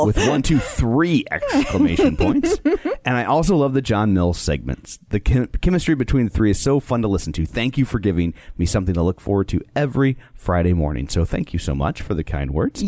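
A man keeps a very even loudness and a fairly quick pace, with hardly any pauses. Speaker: podcast co-host. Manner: casual, jokey.

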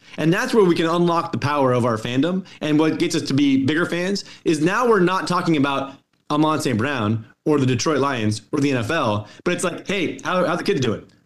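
A man with an American accent and an ordinary speaking voice, fairly high in pitch, fairly quick, with lively intonation. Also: hardly any pauses. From Colorado, US. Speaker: sports analytics executive and author. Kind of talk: interview.

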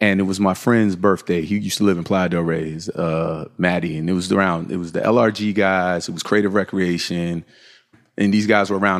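Delivered at a very fast pace, the speech carries an American accent and fairly even intonation. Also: man. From Virginia Beach, US. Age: 40s. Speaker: fashion company co-founder. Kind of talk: interview. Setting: on location at company headquarters.

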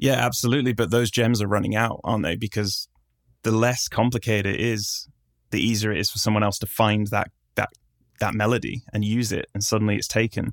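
A man's unremarkable speaking voice, fairly low and fairly even in intonation, at a fairly quick pace, dry and close with no echo, on a very clean recording with a silent background. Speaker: musician and video game composer. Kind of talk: casual interview conversation.

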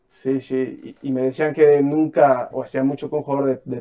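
The speaker is a man with a medium pitch. He moves through his words at a fairly quick pace. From Mexico. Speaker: footballer. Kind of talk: casual chat. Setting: livestream.

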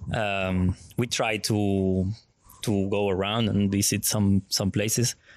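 In a Spanish accent, a man with a fairly low pitch speaks very slowly in a monotone, flat intonation at very even loudness, on a very clean recording with a silent background. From Argentina. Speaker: visual artist. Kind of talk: interview. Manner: halting.

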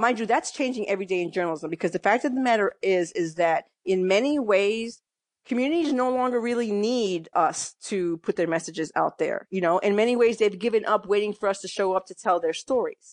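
With an American accent, a woman at medium pitch uses lively intonation and hardly any pauses. The sound is dry and close, with no echo. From New York, the Bronx. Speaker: newspaper columnist. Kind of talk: interview. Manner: hesitant, many fillers.

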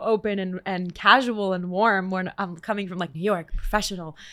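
On a very clean recording with a silent background, a woman with a plain, everyday voice talks at a fairly quick pace, at medium pitch with ordinary pitch variation. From Canada. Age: 20s. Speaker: singer and songwriter. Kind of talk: casual interview chat.

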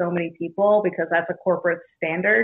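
A woman with medium pitch talks in an ordinary speaking voice. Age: 30s. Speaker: bartender. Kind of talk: casual chat.

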